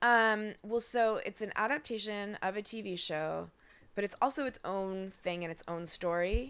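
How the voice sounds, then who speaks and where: In a normal speaking voice, a woman of medium pitch talks at a moderate pace with ordinary pitch variation, on a very clean recording with a silent background. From Portland, Oregon. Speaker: playwright. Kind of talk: casual interview chat. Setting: at home on couch. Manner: frequent laughter and fillers.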